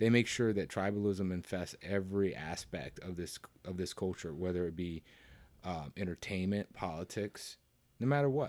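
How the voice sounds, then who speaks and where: Very deep, low-pitched man in a Southern US accent, at a moderate pace. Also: ordinary pitch variation, very clean recording, silent background. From US South. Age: 40s. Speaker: podcast guest, coworker of host. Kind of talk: casual chat.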